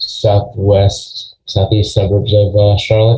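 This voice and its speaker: A man with an American accent speaks at a very slow pace, his intonation monotone and flat. His voice is somewhat breathy, fairly low in pitch, and dark and mellow in tone. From Long Island, New York. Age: 40s. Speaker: gym owner. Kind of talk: interview.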